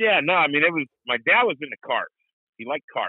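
A man with an American accent speaks at a very fast pace. His pitch swings very widely. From US Midwest. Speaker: motorsport announcer and racing league owner. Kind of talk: casual interview chat.

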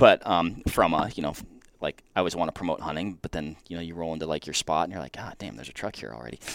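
A man's very deep, low voice with vocal fry, a very fast pace, big swings in loudness and ordinary pitch variation, in a dry, close sound with no echo. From Washington state, US. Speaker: hunter working for an optics company. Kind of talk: casual chat.

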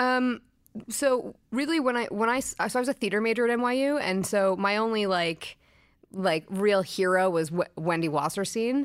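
On a very clean recording with a silent background, a woman with an unremarkable speaking voice talks at a fairly high pitch with lively intonation and very even loudness. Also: moderate pace. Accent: American. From US Northeast, Brooklyn. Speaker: TV showrunner and writer. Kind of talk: interview.

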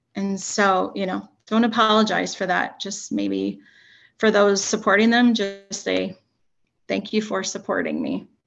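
A woman speaks at a fairly slow pace. Nothing much stirs behind her, as the background is quiet. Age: 40s. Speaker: educator and mental health advocate. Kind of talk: casual interview. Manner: halting.

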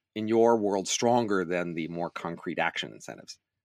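In a very clean recording with a silent background, a man with a plain, everyday voice speaks fairly low at a moderate pace. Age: 60s. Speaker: author and economist. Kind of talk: casual chat.

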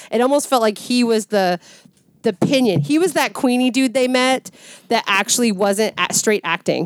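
Lively in intonation and very even in loudness, a woman with an unremarkable speaking voice talks at a moderate pace in a fairly high pitch. The sound is dry and close, with no echo. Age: 40s. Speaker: returning guest on horror film podcast. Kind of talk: casual chat.

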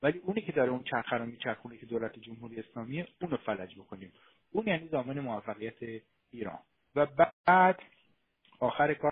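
A man talks at a very fast pace with lively intonation and a medium pitch. He leaves long, frequent pauses. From Iran. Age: 40s. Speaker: author and historian. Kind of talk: political discussion. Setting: online live stream. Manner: animated.

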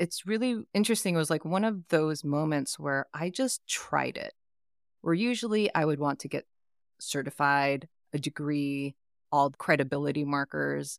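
A woman's very deep, low voice with a Californian accent and lively intonation, in a very clean recording with a silent background and a dry, close sound with no echo. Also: moderate pace. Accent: Californian American. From US West Coast, East Bay (Oakland). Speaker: life coach. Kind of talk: interview conversation.

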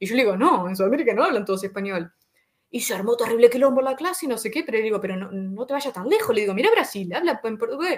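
In a Uruguayan accent, a woman with a fairly high pitch talks at a very fast pace with lively intonation and an animated tone. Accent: Rioplatense Spanish (Uruguayan). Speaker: YouTuber. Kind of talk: casual interview.

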